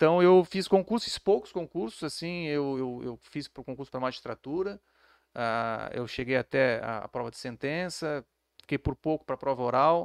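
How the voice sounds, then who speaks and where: In a normal speaking voice, a fairly high-pitched man talks at a moderate pace with lively intonation and big swings in loudness, on a very clean, dry, close recording with a silent background and no echo. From Santa Catarina, Brazil (Florianópolis). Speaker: police chief. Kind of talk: interview. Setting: studio. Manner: calm, measured.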